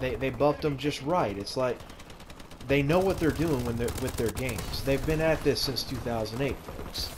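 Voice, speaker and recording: A man's medium-pitched voice with ordinary pitch variation and noticeable background noise. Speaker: gaming YouTuber. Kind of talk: casual opinion commentary over gameplay. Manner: halting, stuttering with many fillers.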